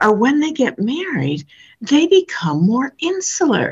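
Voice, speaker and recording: A woman talks at a fairly slow pace with an American accent and some vocal fry. Her pitch swings very widely. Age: 70s. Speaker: social scientist. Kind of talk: interview. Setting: remote call. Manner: animated.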